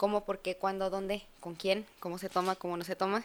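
This is a woman with a normal speaking voice. Her pitch sits at a medium level. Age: 20s. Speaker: chef and sommelier. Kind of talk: casual chat.

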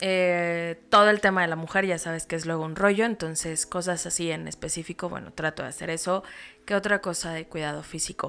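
Fairly quick and fairly even in intonation, this woman's voice sits at a fairly low pitch. The recording is very clean, with a silent background. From Mexico, State of Mexico (Toluca). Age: 30s. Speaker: insurance and investment agent. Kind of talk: interview conversation.

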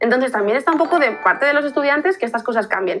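A woman's voice with a bright, sharp tone. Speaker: marketing agency worker. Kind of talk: casual interview.

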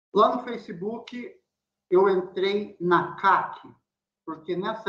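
Speaking at a very slow pace, a man with a high pitch and a bright, sharp tone uses lively intonation. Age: 40s. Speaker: programmer and pipe-smoking content creator. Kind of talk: casual interview.

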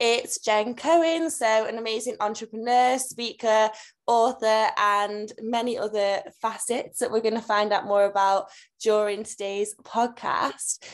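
A woman with an ordinary speaking voice talks at a fairly slow pace and fairly high pitch. Her intonation is fairly even, and the recording is very clean with a silent background. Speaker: podcast co-host. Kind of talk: podcast interview.

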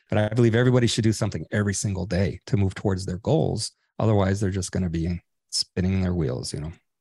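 Very fast and somewhat breathy, a man speaks with a very deep, low pitch, a dark, mellow tone and ordinary pitch variation. The sound is dry and close with no echo over a quiet background. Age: 60s. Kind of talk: interview.

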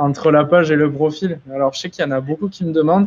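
With a plain, everyday voice at a fairly high pitch, a man talks fairly quickly against a quiet background. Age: 20s. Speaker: influencer marketing agency founder. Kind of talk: webinar presentation. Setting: live stream.

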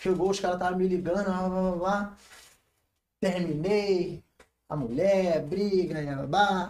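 This man's voice is high in pitch and fairly even in intonation. He talks at a very slow pace, with long, frequent pauses. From Rio de Janeiro. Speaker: funk MC. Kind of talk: casual interview.

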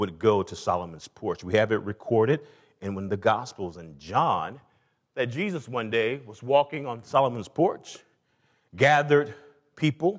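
Speaking fairly slowly in an American accent over a quiet background, a man at medium pitch takes long, frequent pauses while his pitch swings very widely and his loudness rises and falls a lot. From US South, Atlanta. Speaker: pastor. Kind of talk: sermon. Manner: animated.

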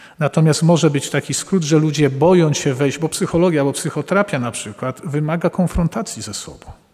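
A man talks at a fairly quick pace with hardly any pauses in a plain, everyday voice. His pitch is fairly high, with ordinary pitch variation. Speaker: Jesuit priest and psychotherapist. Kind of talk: public talk answering audience questions. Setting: live event with audience.

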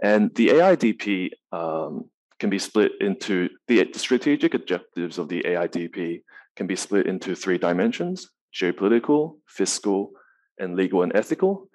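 Moderate pace from a man, set against a quiet background. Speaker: researcher. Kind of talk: conference panel talk.

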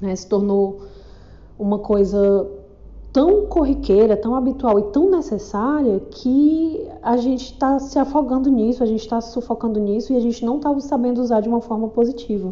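Lively intonation in a woman's high voice. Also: moderate pace. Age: 40s. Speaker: podcaster. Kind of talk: casual monologue.

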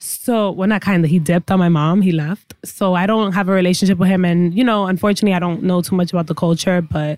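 Someone with a New York accent talks at a very fast pace with fairly even intonation. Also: woman, medium pitch for a woman, hardly any pauses. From New York City, the Bronx. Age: 20s. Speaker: comedian. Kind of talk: casual chat. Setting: studio. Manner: loud.

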